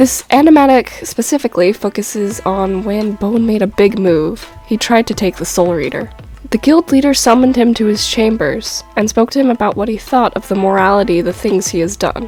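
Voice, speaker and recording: With music in the background, the woman's pitch varies in an ordinary way. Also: fairly high pitch for a woman, fairly quick pace, hardly any pauses. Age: young. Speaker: amateur animator. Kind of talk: story explanation talk to viewers.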